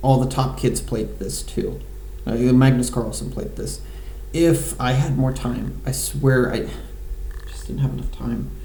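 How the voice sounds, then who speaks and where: A man speaks at a fairly slow pace with audible room echo and noticeable background noise. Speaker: amateur chess player. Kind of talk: live game commentary. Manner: halting, many fillers.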